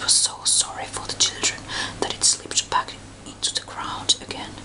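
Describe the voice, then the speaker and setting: The voice is a whisper. There is noticeable background noise behind it. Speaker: ASMR reader. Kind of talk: fairy tale reading. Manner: whispered.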